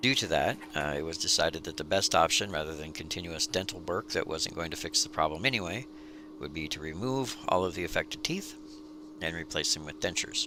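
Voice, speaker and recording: Against noticeable background noise, a man with a very deep, low pitch talks at a fairly quick pace. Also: ordinary pitch variation. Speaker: DIY video creator. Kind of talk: tutorial; personal story.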